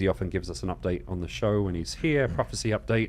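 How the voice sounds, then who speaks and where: Using a very deep, low pitch with vocal fry and very wide pitch swings, a man speaks at a fairly quick pace. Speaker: Bible Q&A show host. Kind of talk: live show announcements. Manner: fast.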